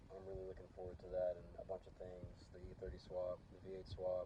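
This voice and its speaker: A man mumbling at a moderate pace. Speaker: car DIY vlogger. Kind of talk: casual vlog talk to camera. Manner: hesitant with fillers. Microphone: old damaged phone mic, audio dips.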